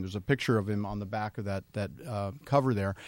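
A man speaks at a fairly quick pace in a plain, everyday voice, captured in a very clean recording with a silent background. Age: 50s. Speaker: anti-aging doctor. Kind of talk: casual chat.

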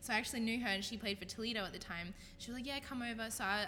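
A woman speaks in an Australian accent with fairly even intonation. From Australia, Brisbane. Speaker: professional women's football quarterback. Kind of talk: casual chat.

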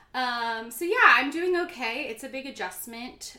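A woman's voice in an American accent at a moderate pace, with ordinary pitch variation and audible room echo. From Florida, US. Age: 30s. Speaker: podcast guest. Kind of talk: casual chat.

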